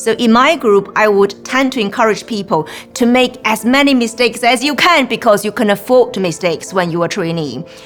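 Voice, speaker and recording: Over noticeable background noise, a woman speaks with a Chinese accent at a fairly high pitch. Her intonation is lively and her pace fairly quick. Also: hardly any pauses. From China. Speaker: lawyer. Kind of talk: interview reflection.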